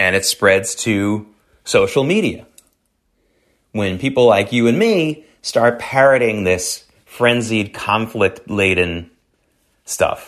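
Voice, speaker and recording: Against a quiet background, a man with an American accent talks at a very slow pace, with ordinary pitch variation and long, frequent pauses. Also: medium pitch for a man. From US South. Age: 50s. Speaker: radio show and podcast host. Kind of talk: solo commentary monologue.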